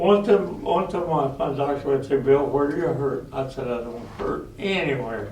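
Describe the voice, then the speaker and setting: A man talks with ordinary pitch variation, his voice carrying audible room echo over noticeable background noise. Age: 90s. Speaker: war veteran. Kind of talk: talk to school students.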